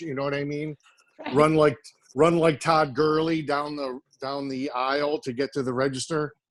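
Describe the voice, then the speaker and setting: Speaking with an American accent, a man uses a plain, everyday voice at a fairly high pitch, a moderate pace and fairly even intonation. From Orange County, California. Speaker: chef. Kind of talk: casual video call chat.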